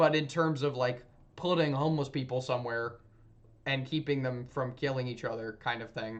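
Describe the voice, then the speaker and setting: With an American accent, a man speaks in an unremarkable speaking voice at medium pitch, fairly even intonation and moderate pace. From US South. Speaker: streamer. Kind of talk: casual livestream chat. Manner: rambling, with frequent self-corrections.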